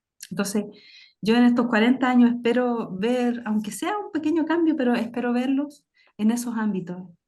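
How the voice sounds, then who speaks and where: A woman's somewhat breathy voice at a fairly high pitch, a moderate pace, and ordinary pitch variation. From southern Chile, Temuco area. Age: 40s. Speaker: author on Mapuche astronomy. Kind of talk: panel discussion. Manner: halting.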